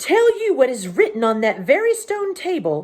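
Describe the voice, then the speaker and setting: A shrill, female-sounding put-on character voice moves at a moderate pace. Its pitch swings very widely. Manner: scornful, indignant.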